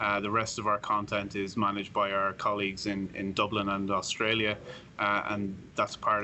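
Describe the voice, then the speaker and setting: In an Irish accent, a man speaks at a fairly low pitch with a monotone, flat intonation. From Ireland. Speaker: sportsbook director. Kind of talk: podcast interview.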